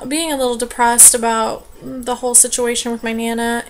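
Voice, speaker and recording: Noticeable background noise sits behind a woman's high-pitched voice. Her intonation stays monotone and flat. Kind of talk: casual vlog talk to camera.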